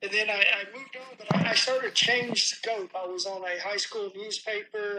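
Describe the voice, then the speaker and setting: Projecting his voice, a man speaks at a high pitch with fairly even intonation. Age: 70s. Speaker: former aerospace engineer. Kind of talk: interview storytelling.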